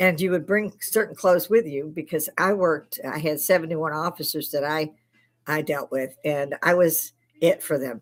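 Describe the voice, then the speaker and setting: Her pitch sits very deep and low for a woman, with ordinary variation. She speaks at a moderate pace with an American accent. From Chicago, Illinois. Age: 60s. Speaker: army veteran and livestream host. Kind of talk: casual livestream chat. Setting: home bar, live stream. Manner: informal, swearing, some stammering.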